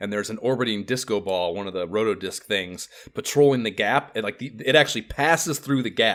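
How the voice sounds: The speaker reads in a natural way.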